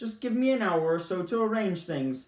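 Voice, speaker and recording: A man performs a put-on character voice, pitched high and croaky. He speaks at a moderate pace. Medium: read story. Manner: prim and stiff.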